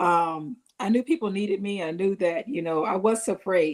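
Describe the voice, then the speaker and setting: With ordinary pitch variation and a fairly low pitch, this woman has an ordinary speaking voice. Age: 60s. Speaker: small business owner. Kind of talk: casual chat.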